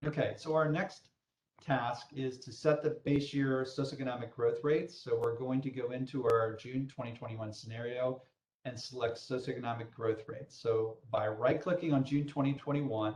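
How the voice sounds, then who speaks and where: His voice is somewhat breathy at a medium pitch. The man's intonation stays fairly even. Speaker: software trainer. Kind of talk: tutorial. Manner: fast.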